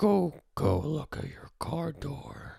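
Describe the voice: This raspy, middle-pitched voice is a put-on character voice.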